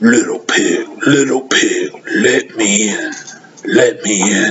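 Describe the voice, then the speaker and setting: Using a put-on character voice, a man speaks raspily at a very slow pace. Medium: read story. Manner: menacing.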